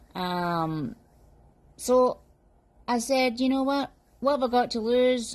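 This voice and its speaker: A woman speaks with a Scottish accent at a fairly slow pace. The background is quiet. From Scotland. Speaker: customer giving a product review. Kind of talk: testimonial review. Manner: animated.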